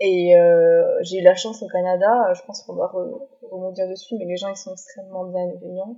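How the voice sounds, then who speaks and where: Moderate speed and ordinary pitch variation in a normal speaking voice. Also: woman. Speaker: student who lived abroad. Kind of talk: casual chat.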